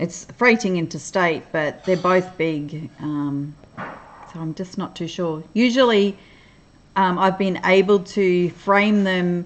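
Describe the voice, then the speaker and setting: In an Australian accent, a woman speaks at a very slow pace. Her tone is relaxed. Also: medium pitch for a woman, ordinary pitch variation. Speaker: crafting livestreamer. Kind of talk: casual chat. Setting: livestream. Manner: relaxed, hesitant with fillers.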